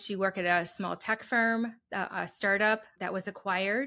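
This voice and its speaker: A bright, sharp voice with an American accent comes through in a very clean recording with a silent background. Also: woman. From Wisconsin. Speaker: HR consultant, entrepreneur. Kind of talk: interview.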